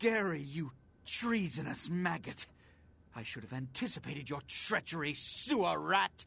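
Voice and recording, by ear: Putting on a character voice, a man speaks at a fairly slow pace with lively intonation, a fairly high pitch, a fairly bright tone, vocal fry and a slightly husky edge.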